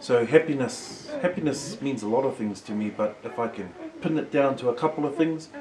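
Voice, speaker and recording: A man's fairly high-pitched voice over noticeable background noise. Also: lively intonation, fairly quick pace. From New Zealand, Māori community. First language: Māori. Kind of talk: casual chat.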